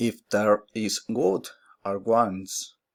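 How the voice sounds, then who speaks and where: Here a man speaks with a Spanish accent. His pace is very slow. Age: 20s. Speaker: mathematics student. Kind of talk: oral class presentation. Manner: halting.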